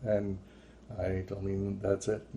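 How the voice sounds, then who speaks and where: A somewhat breathy voice with a dark, mellow tone. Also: man. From France. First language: French. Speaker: religious visionary vlogger. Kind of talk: testimony. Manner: halting.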